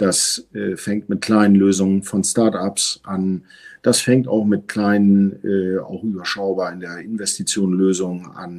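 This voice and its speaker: Very slow and monotone, a man speaks at a fairly low pitch with big swings in loudness on a very clean recording with a silent background. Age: 50s. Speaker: telecom business executive. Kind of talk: interview.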